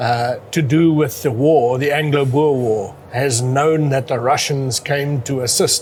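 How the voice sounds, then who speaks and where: A man with a South African accent speaks fairly slowly, with hardly any pauses and very even loudness. His voice is fairly high-pitched and somewhat breathy, with fairly even intonation. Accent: Afrikaans South African English. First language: Afrikaans. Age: 50s. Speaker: amateur historian. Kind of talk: interview.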